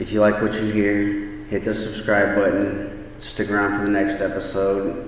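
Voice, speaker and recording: Amid noticeable background noise and audible room echo, a man with a fairly low pitch and ordinary pitch variation talks at a moderate pace with hardly any pauses. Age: 30s. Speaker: podcast host. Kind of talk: personal storytelling monologue.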